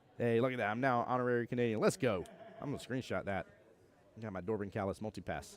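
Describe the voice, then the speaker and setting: An animated man with an American accent speaks at a very fast pace. His pitch is medium, with ordinary pitch variation. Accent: Southern US accent, strong on some words. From US South. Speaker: pool tournament commentator. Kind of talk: live commentary. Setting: live stream at tournament venue.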